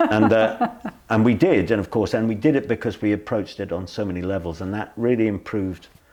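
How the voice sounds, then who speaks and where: Speaking at a very fast pace with a British accent, a man has a dark, mellow tone, a fairly low pitch and ordinary pitch variation. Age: 60s. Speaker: singer, pianist and music educator. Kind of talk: interview. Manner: animated.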